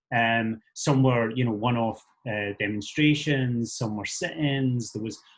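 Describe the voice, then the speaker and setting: With a Scottish accent, a man talks at a moderate pace in a medium pitch, his voice somewhat breathy and his intonation fairly even. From Scotland. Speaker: activist, teacher and musician. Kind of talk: talk to a meeting. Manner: hesitant, many fillers.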